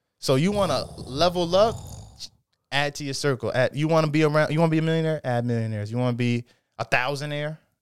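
A man talks at a very fast pace. His voice is fairly high-pitched. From Norwich, Connecticut. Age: 20s. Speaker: podcast guest, small business owner. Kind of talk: casual chat.

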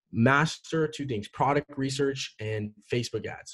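In a dry, close recording with no echo, a normal speaking voice carries ordinary pitch variation. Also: man. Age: young. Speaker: e-commerce entrepreneur. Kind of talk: interview. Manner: casual, many fillers.

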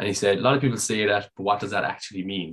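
A man with a Dublin accent, fairly low in pitch, at a very fast pace with fairly even intonation. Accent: Irish (Dublin). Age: 30s. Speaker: amateur American football quarterback. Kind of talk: casual interview. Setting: call.

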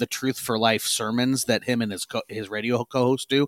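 On a very clean recording with a silent background and a dry, close sound with no echo, a man in a normal speaking voice talks at a fairly quick pace and medium pitch. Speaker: podcast host. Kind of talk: casual podcast discussion.

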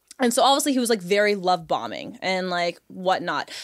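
The recording is very clean, with a silent background. A woman talks at a fairly quick pace with lively intonation. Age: 20s. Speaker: podcast host, dating guest. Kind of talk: casual chat.

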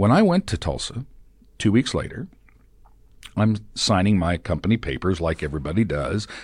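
On a very clean recording with a silent background, a man with an American accent and fairly low pitch speaks at a moderate pace, somewhat breathy, with lively intonation and long, frequent pauses. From Oklahoma. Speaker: former TV news anchor. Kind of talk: casual chat. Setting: studio.

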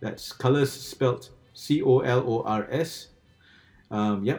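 A man speaks in a dark, mellow tone with ordinary pitch variation. The recording is very clean, with a silent background. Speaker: podcast host. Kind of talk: casual podcast interview.

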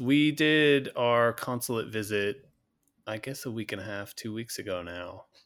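A man's plain, everyday voice at a medium pitch with ordinary pitch variation and a fairly slow pace, in a very clean recording with a silent background. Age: 40s. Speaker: podcast co-host, parent. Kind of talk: casual chat.

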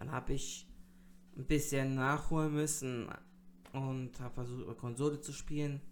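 A man's fairly high pitch in monotone, flat intonation, broken by long, frequent pauses. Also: moderate pace. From North Rhine-Westphalia, Germany. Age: 30s. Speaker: streamer and podcaster. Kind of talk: solo podcast monologue. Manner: hesitant, many fillers.

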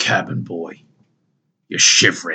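A gruff, raspy put-on character voice from a man. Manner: leaning in close, menacing.

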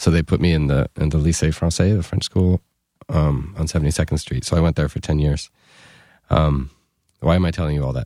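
Heard dry and close with no echo, a man with a very deep, low pitch and a dark, mellow tone talks at a fairly quick pace with fairly even intonation and long, frequent pauses. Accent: New York. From New York City. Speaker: musician, band frontman. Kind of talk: casual interview chat. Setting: podcast studio. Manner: casual, hesitant with filler words.

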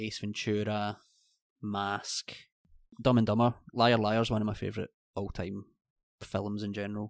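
Against a quiet background, a man with a Scottish accent and a fairly low pitch speaks at a fairly slow pace with monotone, flat intonation and long, frequent pauses, in a dry, close sound with no echo. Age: 30s. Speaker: podcast co-host. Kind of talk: casual chat.

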